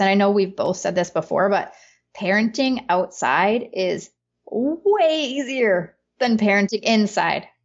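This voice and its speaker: A woman speaks in an Upper Peninsula Michigan accent. Her medium-pitched voice shows ordinary pitch variation. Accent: Upper Midwest (Yooper) US. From Upper Peninsula of Michigan. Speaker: business consultant and homeschooling mother. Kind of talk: casual conversation.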